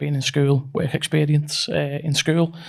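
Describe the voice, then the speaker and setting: A fairly high-pitched man with a slight Scouse accent, very slow pace and fairly even intonation. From northern England, near Liverpool. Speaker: construction company managing director. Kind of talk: casual interview. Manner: halting, repeats words.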